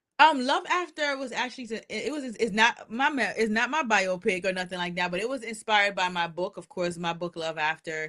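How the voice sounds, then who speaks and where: A woman with a slight Jamaican accent, a bright, sharp tone and lively intonation at a fairly quick pace, over a quiet background. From Jamaica, raised in the USA. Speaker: actress, writer and producer. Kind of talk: casual interview. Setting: live radio show.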